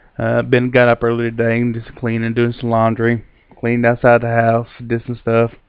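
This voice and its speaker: This man speaks with a Kentucky accent at a moderate pace. His medium-pitched voice has monotone, flat intonation. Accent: Southern US, Kentucky. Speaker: vlogger, amateur ghost hunter. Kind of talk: casual vlog talk to camera.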